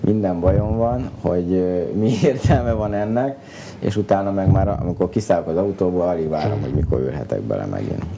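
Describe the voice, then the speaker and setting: A man with a very deep, low voice talks fairly quickly with ordinary pitch variation while noticeable background noise plays. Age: 30s. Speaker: racing driver; guest. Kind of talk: interview. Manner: halting. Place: studio. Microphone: lapel.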